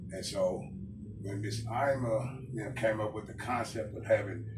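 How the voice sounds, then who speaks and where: A man's medium-pitched voice comes through with monotone, flat intonation. He speaks at a fairly slow pace, and room echo is audible. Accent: American. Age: 50s. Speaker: barber. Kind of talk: interview. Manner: loud; halting, many fillers.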